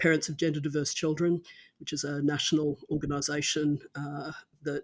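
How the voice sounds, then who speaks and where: Delivered at a moderate pace in an Australian accent, the speech comes from a very clean recording with a silent background. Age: 50s. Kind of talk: podcast interview.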